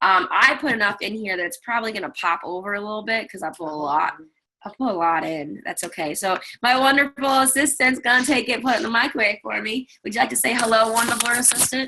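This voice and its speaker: Loud and very fast, this woman's fairly high voice has a bright, sharp tone and lively intonation. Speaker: web show host and cookware seller. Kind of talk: live cooking demo and casual chat. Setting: video call live stream.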